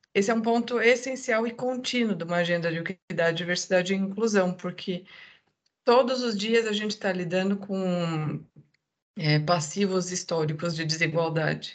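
A woman speaks with a medium pitch and ordinary pitch variation. Her pace is moderate. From southern Brazil. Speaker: diversity and inclusion manager. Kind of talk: podcast interview.

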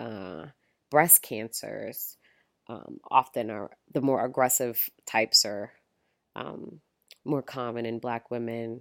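A woman's very deep, low voice with vocal fry and an American accent, very slow with long, frequent pauses, ordinary pitch variation, and a dry, close sound with no echo on a very clean recording with a silent background. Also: big swings in loudness. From Brooklyn, New York. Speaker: OBGYN doctor. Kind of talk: casual chat.

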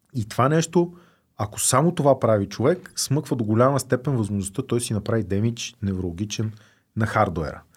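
A somewhat breathy man at medium pitch speaks at a moderate pace with lively intonation in a very clean recording with a silent background. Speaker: drug policy activist, organization founder. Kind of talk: casual interview chat.

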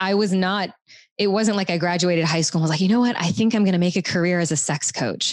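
A woman with an American accent talks in a normal speaking voice at a fairly low pitch. Her intonation is fairly even, on a very clean recording with a silent background. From US South, Louisiana. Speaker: sex and relationship coach. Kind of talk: casual chat.

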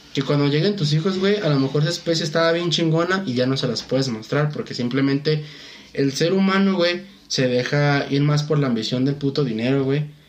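A man speaks at a fairly quick pace with a fairly high pitch, ordinary pitch variation and very even loudness, over noticeable background noise. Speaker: podcast co-host. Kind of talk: casual chat.

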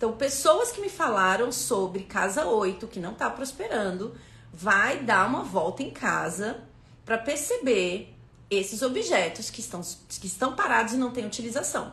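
In a room with audible echo and noticeable background noise, a woman speaks at a fairly slow pace in a fairly high, animated voice with lively intonation. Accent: Brazilian. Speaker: spiritual numerology teacher. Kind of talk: live stream talk. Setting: Instagram live stream.

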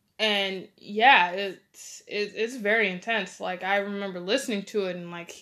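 Against a quiet background, a woman speaks at medium pitch in a bright, sharp tone with fairly even intonation. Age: 20s. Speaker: podcast host. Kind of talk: casual monologue. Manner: hesitant, many fillers.

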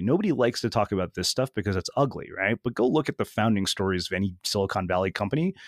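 On a very clean recording with a silent background, a man speaks at a very fast pace. The sound is dry and close with no echo, and his pitch is fairly low. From Indian-American family. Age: 40s. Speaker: podcast host and author. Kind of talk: interview.

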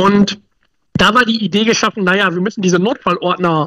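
A raised, projected voice with a bright, sharp tone at a very fast pace, dry and close with no echo. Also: man. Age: 40s. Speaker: emergency planning consultant. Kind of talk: casual interview.

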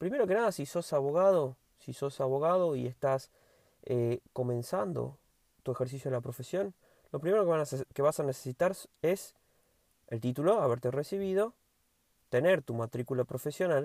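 Using lively intonation and a dark, mellow tone, a man speaks at a fairly high pitch and a moderate pace with long, frequent pauses, the sound dry and close with no echo on a very clean recording with a silent background. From Argentina, Tucumán province (Monteros). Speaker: lawyer and podcast host. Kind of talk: solo educational podcast monologue. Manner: informal, conversational.

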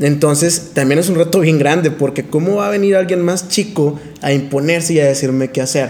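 A man speaks at a fairly high pitch with fairly even intonation. The recording has audible room echo and noticeable background noise. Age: 20s. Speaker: podcast co-host, speaker. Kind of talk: casual chat.

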